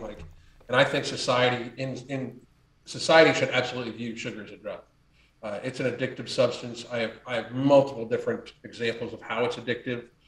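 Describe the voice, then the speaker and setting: Speaking at a very fast pace with an American accent, a man with a medium-pitched, somewhat breathy voice swings widely in loudness. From United States. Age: 50s. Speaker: health and lifestyle coach. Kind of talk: casual chat. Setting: podcast interview.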